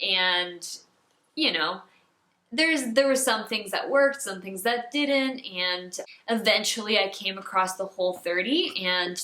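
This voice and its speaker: The pace is fairly slow as a woman talks. Hers is an unremarkable speaking voice with ordinary pitch variation. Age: 20s. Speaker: holistic health coach. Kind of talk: casual talk to camera.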